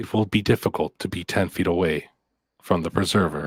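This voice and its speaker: In a put-on character voice with a deadpan tone, a man speaks very deep and low at a fairly quick pace. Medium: actual play. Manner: formal, measured, deadpan.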